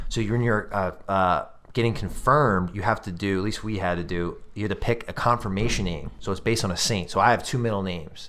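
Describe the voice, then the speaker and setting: The speaker talks at a very fast pace. Pitch moves up and down in an ordinary way. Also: man, fairly low pitch for a man. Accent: American. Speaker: podcast co-host. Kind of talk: casual chat.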